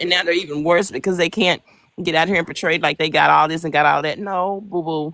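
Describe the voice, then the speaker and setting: Bright and sharp in tone, a woman speaks at a very fast pace in an animated way with a fairly low pitch. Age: 60s. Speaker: live stream guest. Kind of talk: casual chat.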